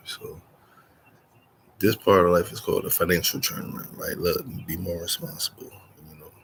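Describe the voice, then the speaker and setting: A quiet man talks at a fairly quick pace against noticeable background noise. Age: 40s. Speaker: vlogger. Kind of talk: casual monologue. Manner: quiet, low voice.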